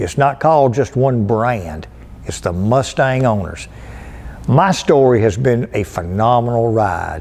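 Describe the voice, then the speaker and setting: At a fairly slow pace, a man with a North Carolina accent speaks with lively intonation. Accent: Southern US (North Carolina). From US South, North Carolina (Lowell). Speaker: car dealership performance manager. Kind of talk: casual storytelling to camera. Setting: museum. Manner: animated. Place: hall.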